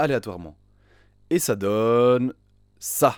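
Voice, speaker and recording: A man with an unremarkable speaking voice talks at a medium pitch with ordinary pitch variation. The recording is very clean with a silent background, and the sound is dry and close with no echo. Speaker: programming tutorial youtuber. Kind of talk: tutorial. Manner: casual, joking.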